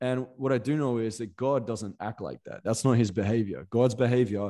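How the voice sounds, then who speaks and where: In an Australian accent, a man talks with a dark, mellow tone. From Perth, Western Australia. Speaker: motivational coach and podcaster. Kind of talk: podcast interview.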